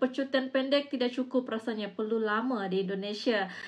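A woman talks at a very fast pace in an animated tone. Her pitch varies in an ordinary way. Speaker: reaction video host. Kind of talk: casual video commentary. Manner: chatty, animated. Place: home room. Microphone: lapel.

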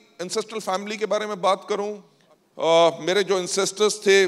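Against a quiet background, a man with a high pitch talks at a fairly slow pace. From Delhi, India. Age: 50s. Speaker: business founder. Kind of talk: motivational talk. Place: hall. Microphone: handheld.

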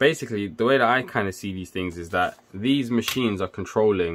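A man speaks in an unremarkable speaking voice with ordinary pitch variation. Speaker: electrical engineer and tech video maker. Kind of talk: casual tutorial. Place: home room.

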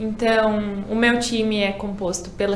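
A woman talks with a fairly high pitch in a flat monotone. Light background noise and audible room echo sit around her voice. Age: 20s. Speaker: beauty pageant contestant. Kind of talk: casual interview. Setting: studio. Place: studio.

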